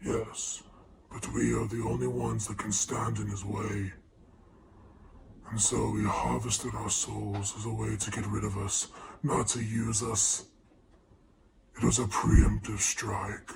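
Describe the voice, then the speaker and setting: A man does a put-on character voice with a fairly low pitch. He goes at a fairly slow pace with long, frequent pauses. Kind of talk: archaic formal speech. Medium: actual play. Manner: solemn, formal, fatherly.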